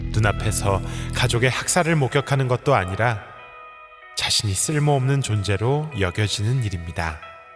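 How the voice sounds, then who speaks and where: Over music in the background, a man talks at a fairly slow pace with a fairly low pitch. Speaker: audiobook reader / essay narrator. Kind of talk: essay reading, audiobook narration.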